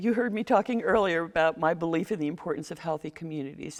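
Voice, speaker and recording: A woman speaks with lively intonation over a quiet background. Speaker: mayoral candidate. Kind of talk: candidate forum answer. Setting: public forum. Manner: fast.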